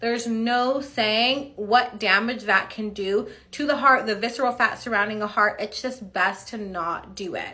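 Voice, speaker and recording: Bright and sharp in tone, a woman speaks at a fairly high pitch with ordinary pitch variation. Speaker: beauty clinic owner and body sculpting educator. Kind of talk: tutorial. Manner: fast.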